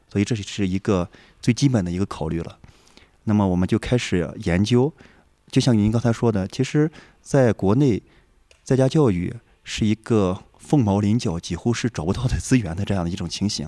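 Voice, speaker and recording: A man's fairly low, dark and mellow voice with lively intonation at a moderate pace, in a dry, close sound with no echo. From rural northern China. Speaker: homeschooling parent, programmer. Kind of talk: casual chat. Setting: lodging in a village while traveling.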